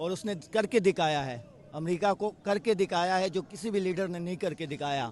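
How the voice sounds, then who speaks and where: The man's voice sits high in pitch. Its pitch variation is ordinary. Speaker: political supporter. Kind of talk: street interview. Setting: outdoors at beach rally.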